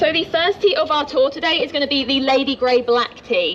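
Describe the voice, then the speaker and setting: A woman with an English accent speaks in a high voice at a moderate pace. Noticeable background noise can be heard. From England, Norwich (East Anglia). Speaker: tour guide. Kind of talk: guided tour talk. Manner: friendly, chatty.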